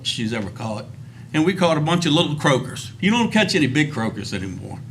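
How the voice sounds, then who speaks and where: The man has an American accent and a fairly high pitch with lively intonation. Audible room echo surrounds his voice. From Virginia, Rappahannock River area. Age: 60s. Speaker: recreational fisherman giving public comment. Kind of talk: public testimony. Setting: public commission meeting.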